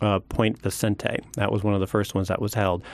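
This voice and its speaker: A man with an American accent speaks in a plain, everyday voice, fairly low in pitch, at a moderate pace. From Oregon. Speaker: public lands manager. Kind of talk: radio interview. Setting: radio studio.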